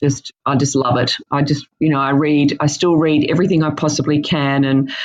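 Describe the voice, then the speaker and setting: In an Australian accent, a woman speaks at a moderate pace with a very deep, low pitch, monotone, flat intonation and very even loudness. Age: 50s. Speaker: dietitian. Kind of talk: interview. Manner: halting, many fillers.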